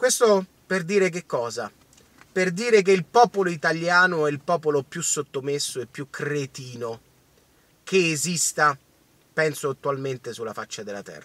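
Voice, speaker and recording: A man at a moderate pace, with long, frequent pauses, big swings in loudness and a dry sound with no echo. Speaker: political commentator. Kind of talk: casual vlog commentary, ranting. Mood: indignant, angry. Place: car. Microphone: phone near.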